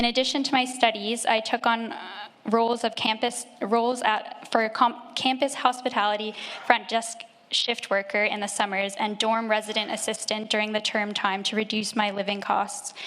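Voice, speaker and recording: With noticeable background noise, a woman with a Canadian accent and a fairly high pitch speaks in a flat monotone. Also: moderate pace. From Canada, Nova Scotia. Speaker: church member being baptised. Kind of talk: testimony. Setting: church.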